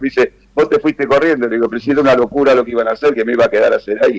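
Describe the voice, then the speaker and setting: A man with a Rioplatense accent. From Argentina, Buenos Aires. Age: 70s. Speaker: former politician. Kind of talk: interview. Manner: hesitant, many fillers.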